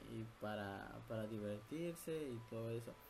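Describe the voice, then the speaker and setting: A man's medium-pitched voice, with ordinary pitch variation, carries audible room echo. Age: 20s. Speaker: podcast host. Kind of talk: casual chat.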